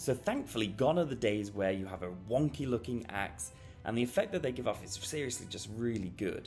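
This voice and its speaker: Lively intonation and a fairly quick pace run over music in the background. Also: man, medium pitch for a man. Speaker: toy reviewer. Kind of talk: product review narration.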